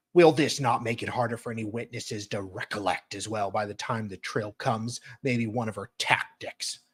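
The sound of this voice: An unforced reading voice with fairly even intonation throughout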